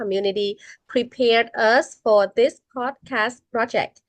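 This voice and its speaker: A woman speaks with a non-native accent. The sound is dry and close, with no echo. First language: not English. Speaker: college student. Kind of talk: student podcast discussion. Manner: hesitant, many fillers.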